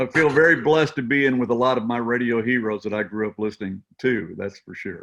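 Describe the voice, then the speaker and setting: With an American accent, a man at a medium pitch talks at a very fast pace with hardly any pauses, big swings in loudness and ordinary pitch variation. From US Midwest, Missouri. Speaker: country radio broadcaster and musician. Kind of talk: interview. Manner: animated.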